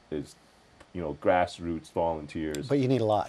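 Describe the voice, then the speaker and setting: The man speaks with a very deep, low pitch. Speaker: guest. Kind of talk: interview answer. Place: studio. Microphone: lapel.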